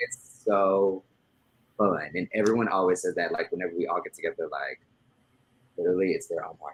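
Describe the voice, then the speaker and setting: Speaking at a fairly quick pace with an American accent, a man leaves long, frequent pauses. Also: dry, close sound with no echo. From US South, Memphis, Tennessee. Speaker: podcast guest. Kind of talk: casual interview. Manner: loud; animated.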